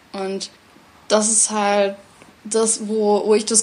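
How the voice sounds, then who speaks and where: The speaker is a woman. She has a medium pitch. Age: 20s. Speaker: theatre educator. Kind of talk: interview conversation.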